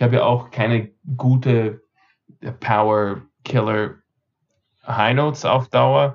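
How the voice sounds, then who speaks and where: Speaking very slowly at medium pitch, a man keeps his loudness very even, with ordinary pitch variation and long, frequent pauses. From Austria, Vienna and Carinthia, with American roots. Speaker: barbershop singer and expert. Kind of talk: interview.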